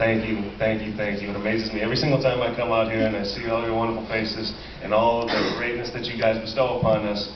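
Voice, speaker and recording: A man speaks at a medium pitch and a very fast pace with hardly any pauses. The recording has audible room echo and noticeable background noise. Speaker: animal sanctuary representative. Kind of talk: speech at a convention closing ceremony. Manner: loud; animated.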